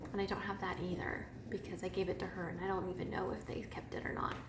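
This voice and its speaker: A woman with an American accent, with audible room echo and noticeable background noise. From US Midwest, northwest Missouri. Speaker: knitting podcaster. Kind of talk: casual personal story monologue.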